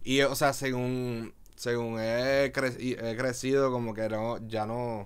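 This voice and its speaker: A man speaks with a Puerto Rican accent in a flat monotone. His pace is very slow. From Puerto Rico, Río Piedras; Puerto Rico. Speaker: visual artist and DJ; podcast guest. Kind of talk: casual interview chat. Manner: halting, many fillers. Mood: calm, reflective. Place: studio. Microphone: studio mic.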